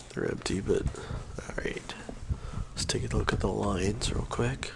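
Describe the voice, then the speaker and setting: Whispering at a fairly slow pace, a man is heard through audible room echo and noticeable background noise. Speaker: gaming streamer. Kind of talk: live gameplay stream. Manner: quiet, keeping voice down; casual, with fillers.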